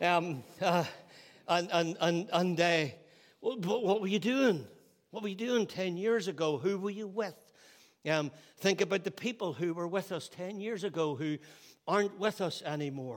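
Long, frequent pauses break up the speech of a man with a Northern Irish accent and a high pitch. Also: ordinary pitch variation, moderate pace. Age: 60s. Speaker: pastor. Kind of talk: sermon. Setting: church.

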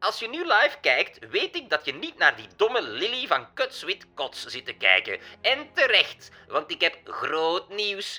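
A man's put-on character voice, extremely high in pitch, nasal and whiny, with a whiny tone, big swings in loudness, hardly any pauses and music in the background. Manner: whiny, irritating, complaining.

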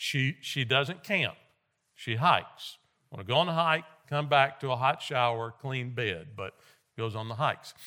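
Bright and sharp in tone, a man speaks at medium pitch and a moderate pace, with ordinary pitch variation. The recording is very clean, the background silent. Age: 60s. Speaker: guest preacher. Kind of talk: sermon. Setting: church.

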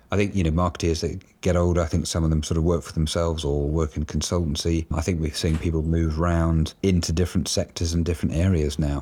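On a very clean recording with a silent background, a man with a British accent speaks at a fairly quick pace in a very deep, low pitch, with monotone, flat intonation and a dark, mellow tone. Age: 50s. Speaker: advertising agency executive. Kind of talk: interview.

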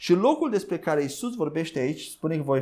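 The recording is very clean, the background silent. A man's tone is dark and mellow. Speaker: preacher. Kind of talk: sermon. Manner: halting.

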